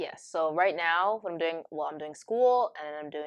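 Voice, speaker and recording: Pitch varies in an ordinary way as the speaker keeps to a moderate speed. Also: woman. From Canada, Ontario (Brampton). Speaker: university student. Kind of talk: casual interview. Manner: lots of fillers, laughs often.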